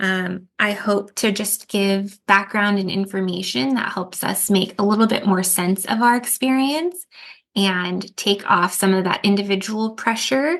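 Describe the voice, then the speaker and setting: A woman with an American accent speaks at a fairly slow pace in an unremarkable speaking voice. Her pitch is medium, with ordinary variation. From US, Mexican and Ecuadorian family. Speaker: trauma therapist and author. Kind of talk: podcast interview.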